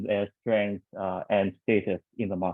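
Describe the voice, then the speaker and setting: The speaker has a Vietnamese accent and a moderate pace. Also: man. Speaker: panel moderator. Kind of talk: panel discussion.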